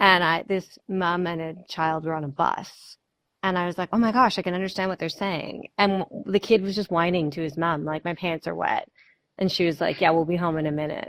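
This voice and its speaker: A woman's fairly low voice at a fairly quick pace, fairly even in intonation, on a very clean recording with a silent background. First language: French and English (bilingual upbringing). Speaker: co-director of an art series, interviewer. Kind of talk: casual interview chat. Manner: hesitant, many fillers.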